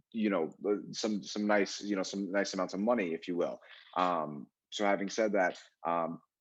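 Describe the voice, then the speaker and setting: A man with an American accent speaks at a moderate pace in an ordinary speaking voice with a fairly low pitch. The background is quiet. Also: fairly even intonation. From New York, Long Island. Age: 20s. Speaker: real estate agent. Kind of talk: casual interview.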